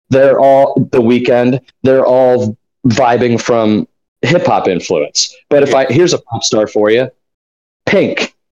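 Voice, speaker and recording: Recorded dry and close with no echo, a man with an unremarkable speaking voice talks at a fairly slow pace and medium pitch, with ordinary pitch variation. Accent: American. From St. Louis, Missouri. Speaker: podcast host. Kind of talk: casual chat.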